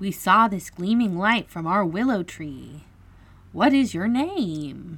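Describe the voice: A woman's put-on character voice, slow in pace, with a slightly husky edge and lively intonation. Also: medium pitch for a woman.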